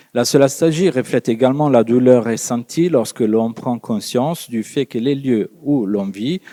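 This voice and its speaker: A man with an Italian accent, medium pitch and a dark, mellow tone, lively intonation at a fairly slow pace, dry and close with no echo in a very clean recording with a silent background. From Italy. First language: Italian (speaking French). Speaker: psychologist and lecturer. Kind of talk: conference talk read from text. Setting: conference with audience. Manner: hesitant, many fillers.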